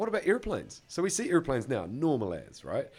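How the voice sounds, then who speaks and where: A man with a New Zealand accent talks very fast, his intonation lively. Music plays in the background. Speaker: podcast co-host. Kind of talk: casual chat.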